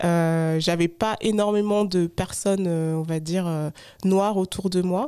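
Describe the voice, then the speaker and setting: At a fairly slow pace, a woman speaks in a medium pitch with a dark, mellow tone and fairly even intonation, on a very clean recording with a silent background. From France, Haute-Savoie. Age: 30s. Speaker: podcaster and digital consultant. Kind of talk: podcast interview. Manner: hesitant, many fillers.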